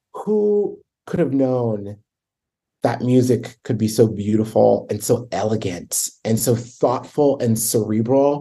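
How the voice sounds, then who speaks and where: In an American accent, a man speaks very slowly with a dark, mellow tone and fairly even intonation. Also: medium pitch for a man. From Baltimore, Maryland, US. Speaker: choral conductor and arts administrator. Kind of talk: interview conversation.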